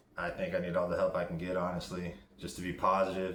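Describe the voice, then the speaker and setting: Mumbling at a fairly quick pace, a man shows ordinary pitch variation. Audible room echo follows his words. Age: 40s. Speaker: vlogger in recovery. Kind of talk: casual video diary.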